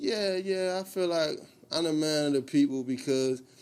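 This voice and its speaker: With a Baltimore accent, a man talks at a fairly slow pace with ordinary pitch variation. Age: 30s. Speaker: clothing brand owner. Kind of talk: casual interview. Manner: casual, repetitive filler phrases.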